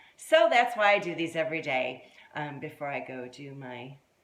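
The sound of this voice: A woman speaks at a moderate pace. Room echo is audible around her.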